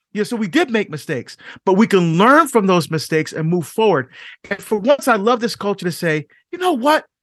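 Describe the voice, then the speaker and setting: In a passionate tone, a man with a high pitch speaks with very wide pitch swings, the sound dry and close with no echo. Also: quiet background. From Barbados. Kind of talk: interview.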